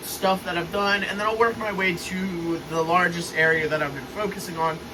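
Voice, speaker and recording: A man's raised, projected, high-pitched voice amid noticeable background noise and audible room echo. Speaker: model train hobbyist youtuber. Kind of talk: casual video update. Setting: basement train room. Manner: loud, speaking up over fans.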